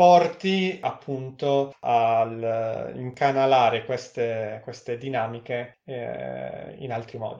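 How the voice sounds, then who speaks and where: Pitch variation stays ordinary for this man. His pace is very slow. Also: medium pitch for a man, hardly any pauses. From Friuli, north-east Italy (Udine), later Novara. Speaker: researcher. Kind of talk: casual interview.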